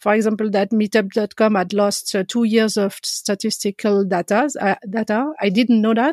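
Moderate pacing with hardly any pauses and fairly even intonation, in a French accent, captured with a dry, close sound with no echo in a very clean recording with a silent background. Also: woman, fairly high pitch for a woman. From French-speaking Switzerland, Geneva. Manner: halting, frequent repetitions and laughter.

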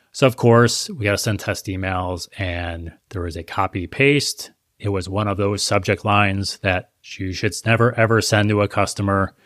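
A man's ordinary speaking voice, fairly low in pitch with fairly even intonation, in a dry, close sound with no echo. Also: moderate pace, very clean recording, silent background. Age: 40s. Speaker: e-commerce marketing expert. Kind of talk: interview.

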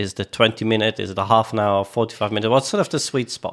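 A man with a normal speaking voice at a medium pitch. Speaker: co-host interviewer. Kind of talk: casual interview chat.

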